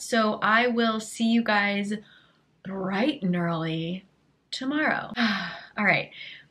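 Delivery comes at a slow pace with ordinary pitch variation. The tone is fairly bright. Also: woman, medium pitch for a woman.

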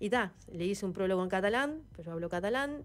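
Lively intonation marks the speech of a woman. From Uruguay. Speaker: former footballer and coach; coach. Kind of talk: interview. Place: studio. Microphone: studio mic.

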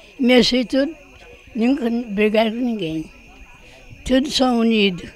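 At a moderate pace, the voice sounds dry, with no echo. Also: woman. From Brazil. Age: 80s+. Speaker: retired farm worker. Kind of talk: interview answer. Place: home room. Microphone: handheld.

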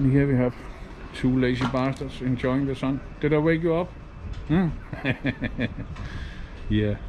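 A man at a fairly slow pace with fairly even intonation over light background noise. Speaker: travel vlogger. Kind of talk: casual vlog commentary. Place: market. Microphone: phone near.

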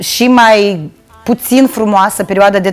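A woman at a fairly slow pace with ordinary pitch variation, faint music in the background. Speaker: guest. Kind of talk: interview answer. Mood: cheerful, nostalgic. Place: studio. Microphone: lapel.

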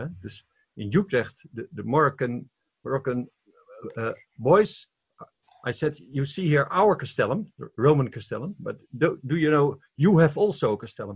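A fairly high-pitched male voice, somewhat breathy, with lively intonation, big swings in loudness, a moderate pace and long, frequent pauses. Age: 70s. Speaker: retreat participant. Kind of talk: personal sharing. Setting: video call. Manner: halting.

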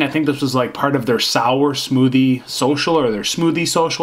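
Here a man delivers his words at a moderate pace. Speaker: beer reviewer. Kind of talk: casual vlog chat. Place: home room.

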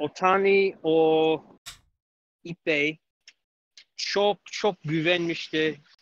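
A man speaks very slowly in a fairly high pitch with monotone, flat intonation and long, frequent pauses. The sound is dry, with no echo. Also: quiet background. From United States. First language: English (speaking Turkish). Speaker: caller. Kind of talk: casual call-in chat. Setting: call-in. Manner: halting. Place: home room. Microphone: studio mic.

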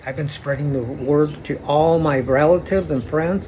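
A man with an American accent at a moderate pace, with light background noise. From Arizona, Phoenix area. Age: 60s. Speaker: vlogger. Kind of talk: personal video monologue. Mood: serious, aggrieved, religious. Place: street. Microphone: phone near.

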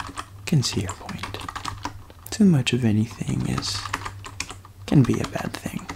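A soft-spoken man talks at a fairly slow pace with long, frequent pauses and a warm tone. Noticeable background noise runs underneath. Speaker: ASMR creator playing hotline operator. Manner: warm, reassuring, with sleepy pauses and murmured 'mm-hmm'. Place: home room. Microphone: studio mic.

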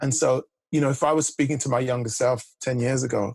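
Against a quiet background, a man talks at a fairly quick pace in a somewhat breathy voice with fairly even intonation, the sound dry with no echo. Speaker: executive coach. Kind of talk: interview answer. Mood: warm, reflective. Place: home room. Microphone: video call.

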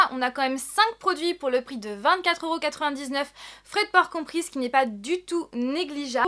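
A woman speaks with lively intonation at a high pitch. Her tone is bright and sharp.

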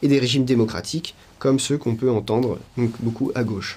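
A man is speaking. His pace is fairly quick. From western France (La Rochelle); France. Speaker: political activist; interviewee. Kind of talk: interview testimony. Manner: hesitant, frequent fillers. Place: home room.

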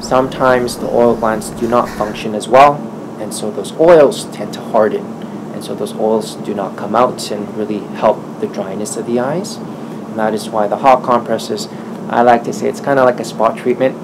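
A man speaks at a moderate pace, with noticeable noise behind him. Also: ordinary pitch variation. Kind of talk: interview answer. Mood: friendly, smiling.

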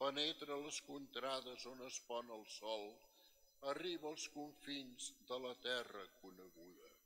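A man speaks at a very slow pace with a bright, sharp tone and ordinary pitch variation, over light background noise. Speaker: priest giving homily. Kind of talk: sermon. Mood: solemn, respectful. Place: church. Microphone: podium.

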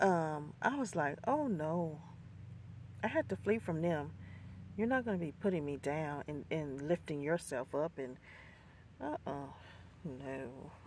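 At a fairly slow pace with long, frequent pauses, a woman speaks low in pitch with a slightly mellow tone and lively intonation.

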